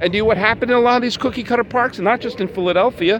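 A man's loud, high-pitched shouting with lively intonation over noticeable background noise. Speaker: baseball podcast host. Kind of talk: solo podcast monologue. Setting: outdoors at a ballpark. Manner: loud, shouting.

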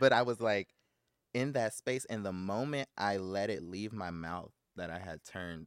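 This man has a normal speaking voice, fairly low in pitch with ordinary pitch variation, speaking with an American accent in a dry, close sound with no echo. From South Central Los Angeles. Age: 30s. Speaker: writer, producer and actor. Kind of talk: interview. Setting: studio.

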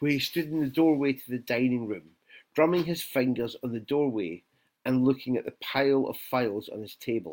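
The background stays quiet. Over it comes plain reading aloud, with ordinary pitch variation.

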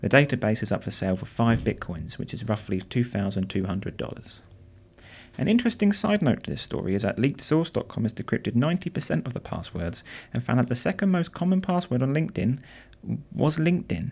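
Over a silent background in a very clean recording, a man talks at a very fast pace with vocal fry. His medium-pitched voice makes very wide pitch swings. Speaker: podcast host. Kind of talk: scripted news reading. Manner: fast talker.

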